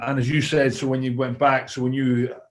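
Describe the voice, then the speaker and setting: A man with a Scottish accent speaks at a moderate pace with monotone, flat intonation. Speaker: former rugby player and coach. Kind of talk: interview answer.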